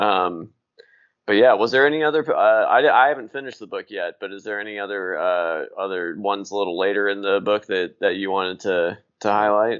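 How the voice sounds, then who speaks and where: An ordinary speaking voice from a man, fairly low in pitch with ordinary pitch variation, fairly quick in pace and with big swings in loudness. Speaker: podcast host. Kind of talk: casual interview chat.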